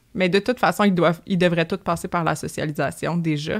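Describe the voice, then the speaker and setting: A plain, everyday voice, a woman with a fairly low pitch and fairly even intonation at a fairly quick pace, on a very clean recording with a silent background. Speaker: animal health technician. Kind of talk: interview.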